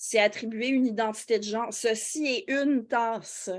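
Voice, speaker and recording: Fairly high in pitch, a woman speaks with fairly even intonation. Her pace is fairly slow. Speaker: philosophy teacher and YouTuber. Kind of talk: interview answer in a webinar. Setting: online webinar. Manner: hesitant, many fillers.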